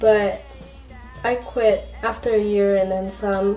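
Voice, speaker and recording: A woman with an American accent speaks as music plays in the background. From Riverside, California. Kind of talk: casual talk to camera. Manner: mumbling.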